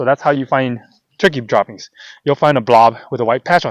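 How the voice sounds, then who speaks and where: In a dry, close sound with no echo, a man speaks at a moderate pace with a medium pitch and ordinary pitch variation. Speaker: hunting vlogger. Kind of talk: outdoor tutorial vlog. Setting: outdoors. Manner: loud; casual, halting with fillers.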